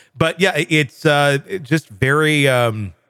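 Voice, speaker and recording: Lively intonation marks this man's plain, everyday voice, fairly high in pitch and captured with a dry, close sound and no echo. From US Midwest. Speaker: podcast host. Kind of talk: casual discussion.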